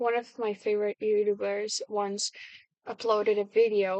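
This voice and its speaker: Recorded dry and close with no echo over a quiet background, a woman with a fairly high pitch talks at a moderate pace. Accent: non-native. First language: not English. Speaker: video blogger. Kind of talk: casual monologue. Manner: halting, many fillers and restarts.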